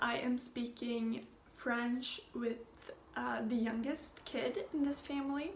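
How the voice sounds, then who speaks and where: A woman's high-pitched voice, very slow with fairly even intonation and very even loudness, amid noticeable background noise and audible room echo. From Sweden. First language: Swedish. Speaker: au pair vlogger. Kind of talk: casual vlog update. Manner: hesitant, many fillers.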